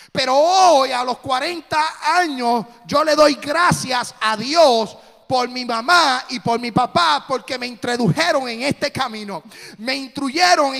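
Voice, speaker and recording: A man's raised, projected voice, extremely high in pitch, bright and sharp in tone, at a fairly slow pace with ordinary pitch variation. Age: 40s. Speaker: pastor. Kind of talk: sermon. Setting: church.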